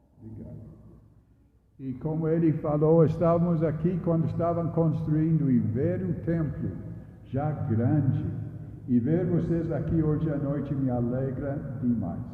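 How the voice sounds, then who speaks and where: A man with a northeast English accent speaks fairly slowly, with long, frequent pauses and a fairly high pitch that varies in an ordinary way. Audible room echo and noticeable background noise surround him. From northeast England. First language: English (speaking Portuguese). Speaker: retired missionary pastor. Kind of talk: sermon. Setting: church.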